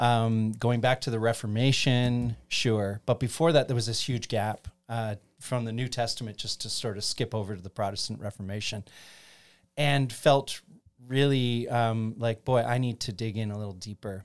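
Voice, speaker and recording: A man's medium-pitched voice with a Canadian accent, at a moderate pace with fairly even intonation, on a very clean recording with a silent background. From Ontario, Canada (Chatham). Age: 50s. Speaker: pastor. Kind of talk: casual interview about theology. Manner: halting, many fillers.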